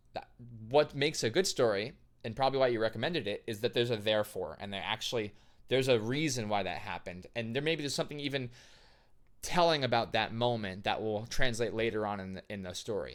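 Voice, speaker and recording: On a very clean recording with a silent background, a man with a medium pitch and an animated tone talks at a fairly quick pace. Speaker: composer and vocalist reacting to musicals. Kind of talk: reaction video commentary.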